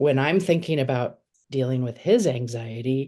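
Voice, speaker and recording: Her voice is very deep and low, with a dark, mellow tone. The woman's pitch varies in an ordinary way. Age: 60s. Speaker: participant in church sharing circle. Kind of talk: sharing in a spiritual group. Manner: halting, many fillers.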